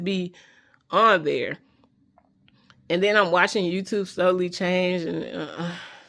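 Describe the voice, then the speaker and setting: A woman at medium pitch speaks in an animated tone. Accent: Memphis. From US South, Memphis, Tennessee. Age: 30s. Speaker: beauty vlogger. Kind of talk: casual vlog rant. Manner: slight slurring of words.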